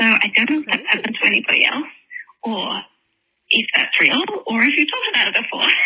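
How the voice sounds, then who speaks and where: The speaker talks very fast in an Australian accent. Long pauses come often. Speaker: listener caller. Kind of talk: voicemail message. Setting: phone call.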